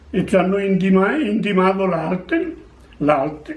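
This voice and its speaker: A man's speech carries audible room echo. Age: 80s+. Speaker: war veteran. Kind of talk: testimony. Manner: halting.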